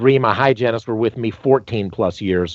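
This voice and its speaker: Someone with a Southern US accent talks at a moderate pace with ordinary pitch variation. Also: man. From North Carolina (Greensboro). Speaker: dentist and dental educator. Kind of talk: podcast interview. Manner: animated.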